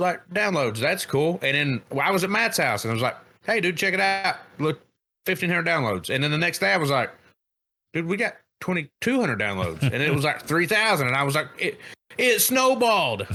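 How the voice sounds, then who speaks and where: A man speaks fairly quickly at a fairly high pitch, his tone bright and sharp with vocal fry. His pitch swings very widely while loudness stays very even, on a very clean recording with a silent background. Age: 30s. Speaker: podcast co-host. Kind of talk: casual chat. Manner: animated.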